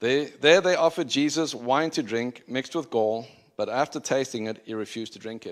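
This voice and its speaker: In a South African accent, a man talks at a fairly quick pace with ordinary pitch variation over a very clean recording with a silent background. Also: medium pitch for a man. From Zimbabwe and South Africa. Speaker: preacher. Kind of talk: sermon. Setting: church.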